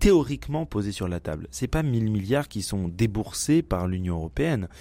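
The recording is very clean, with a silent background. A man with a dark, mellow tone speaks at a fairly slow pace, his pitch swinging very widely. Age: 40s. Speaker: press club commentator. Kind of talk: casual chat.

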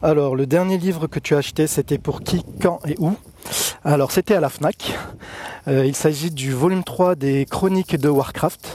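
Here is a man with an unremarkable speaking voice, fairly high in pitch with ordinary pitch variation. He goes at a fairly slow pace, and the sound is dry and close with no echo. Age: 40s. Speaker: listener answering a reader questionnaire, railway employee. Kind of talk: recorded questionnaire answers.

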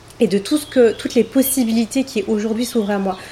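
Clear background noise sits under a voice whose pitch rises and falls in a normal way. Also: woman. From Paris, France. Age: 30s. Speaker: massage therapist and wellness coach. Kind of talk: interview. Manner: hesitant, many fillers.

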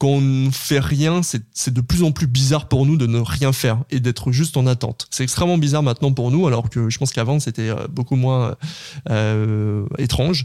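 A man's dark, mellow voice at a medium pitch and moderate pace, with ordinary pitch variation. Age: 30s. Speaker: podcast platform founder. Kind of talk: interview.

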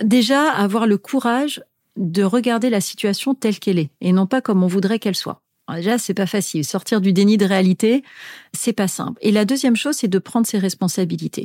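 In a very clean recording with a silent background, a woman speaks at a fairly quick pace. She has an unremarkable speaking voice with ordinary pitch variation and very even loudness. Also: medium pitch for a woman, dry, close sound with no echo. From Tunisia. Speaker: business executive and author. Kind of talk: interview.

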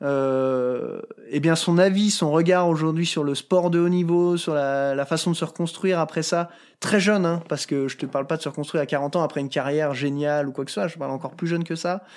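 Recorded very cleanly over a silent background, a man with an ordinary speaking voice talks at a fairly quick pace with fairly even intonation. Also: fairly high pitch for a man. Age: 30s. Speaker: mountaineer and high-mountain guide. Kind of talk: interview conversation.

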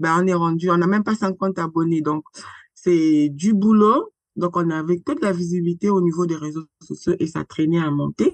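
A woman talks in an ordinary speaking voice, fairly low in pitch, at a moderate pace. Her intonation is fairly even, and the sound is dry and close with no echo. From Republic of the Congo (Brazzaville). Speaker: founder and president of an agroecology association. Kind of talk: interview conversation.

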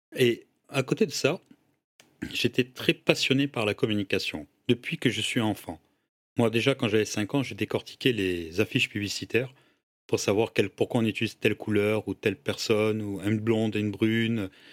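In a very clean recording with a silent background and a dry, close sound with no echo, a man with a fairly low pitch talks at a moderate pace with ordinary pitch variation in an ordinary speaking voice. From Senegal (Dakar), moved to France at 14. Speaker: entrepreneur and social media influencer. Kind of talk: casual interview chat.

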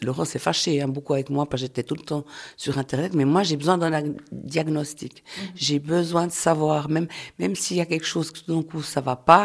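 The speech moves at a fairly quick pace. Its intonation is fairly even. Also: woman, very deep, low pitch for a woman. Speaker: person living with multiple sclerosis. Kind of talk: testimony.

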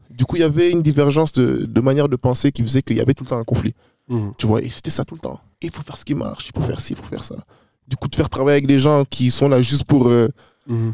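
Very fast and medium in pitch, a man talks with big swings in loudness, the sound dry and close with no echo. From Brussels, Belgium. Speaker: rap artist. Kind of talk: casual chat. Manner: animated.

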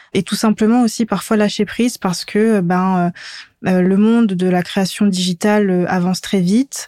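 A woman speaks at a medium pitch and a fairly slow pace, her tone dark and mellow with monotone, flat intonation. The recording is very clean and dry, close with no echo, over a silent background. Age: 20s. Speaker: graphic designer. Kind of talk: interview.

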